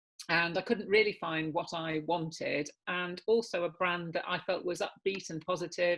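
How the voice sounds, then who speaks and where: Speaking with an English accent, a woman keeps a moderate pace with hardly any pauses, a fairly low pitch and fairly even intonation. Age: 60s. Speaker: hair care brand founder. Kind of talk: interview. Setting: video call.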